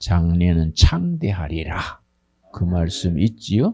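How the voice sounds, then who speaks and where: Very slow, very deep, low male speech in a dark, mellow tone, with ordinary pitch variation. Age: 80s+. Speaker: pastor. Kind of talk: congratulatory speech. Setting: graduation ceremony with audience. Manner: informal, conversational.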